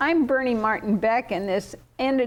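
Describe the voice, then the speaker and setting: A woman with a plain, everyday voice speaks fairly slowly at a fairly high pitch, with ordinary pitch variation. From southern Oregon. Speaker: tv interview host. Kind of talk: casual interview.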